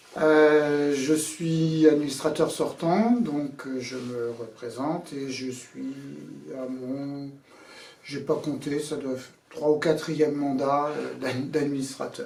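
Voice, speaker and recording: Over noticeable background noise and audible room echo, a man talks at a very slow pace and fairly high pitch, his intonation fairly even and his loudness swinging widely. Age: 60s. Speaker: association board candidate, boat skipper. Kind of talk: candidate self-presentation. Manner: halting, many hesitations.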